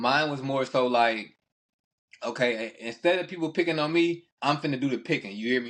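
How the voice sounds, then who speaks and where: At a fairly quick pace, a man talks in a slight Southern US accent, his medium pitch showing ordinary variation. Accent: slight Southern (country). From Texas. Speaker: podcast host. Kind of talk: casual chat. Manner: fast.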